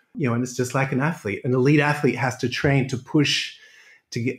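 A man with an Australian accent speaks at a medium pitch, somewhat breathy, with fairly even intonation. The recording is very clean, with a silent background. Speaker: exercise and pain specialist. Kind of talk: interview.

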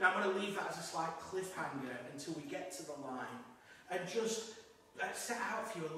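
A man speaks at a fairly quick pace with lively intonation, his voice carrying strong room echo over light background noise. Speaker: priest giving homily. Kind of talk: sermon. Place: church.

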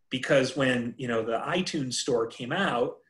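At a moderate pace, a man with an American accent talks in a somewhat breathy voice with ordinary pitch variation. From US Midwest. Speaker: entrepreneur and author; presenter. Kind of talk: workshop presentation. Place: home room. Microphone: video call.

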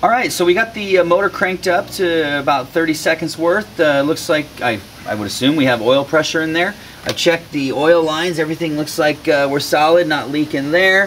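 A man's pitch varies in an ordinary way while light background noise sits behind him. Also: fairly quick pace. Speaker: DIY mechanic host. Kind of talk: tutorial. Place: garage. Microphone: lapel.

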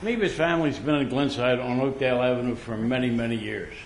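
A man's fairly high voice with an American accent, moderate pace and ordinary pitch variation, amid noticeable background noise and audible room echo. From Pennsylvania, Philadelphia suburbs. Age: 80s+. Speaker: resident speaking at public comment. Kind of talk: public comment at meeting. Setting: township board meeting. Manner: animated.

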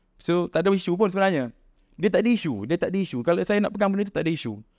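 A man speaks at a very fast pace with very wide pitch swings. The background is quiet. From Malaysia. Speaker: founder of a local shoe brand; podcast guest. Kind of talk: casual chat. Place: home room. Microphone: studio mic.

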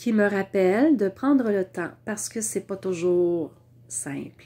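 Speaking at a fairly slow pace in a Quebec accent, the voice moves through very wide pitch swings. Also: woman. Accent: Québécois French. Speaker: vlogger; wellness vlogger. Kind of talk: casual monologue to camera. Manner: hesitant, many fillers. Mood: warm, reflective. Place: home room. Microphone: lapel.

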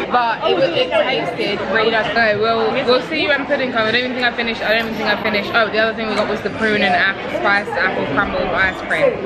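A woman at a very fast pace with hardly any pauses, ordinary pitch variation, and crowd noise in the background. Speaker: vlogger. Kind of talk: casual vlog chat. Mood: cheerful, playful. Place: bar. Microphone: phone near.

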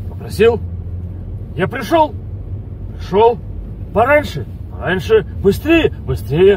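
Speaking at a very slow pace, a man is recorded with a dry sound, no echo and light background noise. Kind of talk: comic rant to passenger. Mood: exasperated comic complaint. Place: car.

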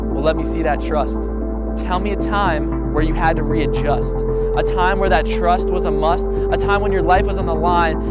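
Loud music plays in the background as a man speaks in a dry sound with no echo. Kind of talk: spoken word poetry performance. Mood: earnest, challenging religious message. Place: forest. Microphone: lapel.

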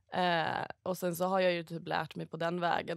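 A woman's fairly low voice, dry with no echo, over a quiet background. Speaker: stockbroker. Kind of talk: casual podcast chat. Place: studio.

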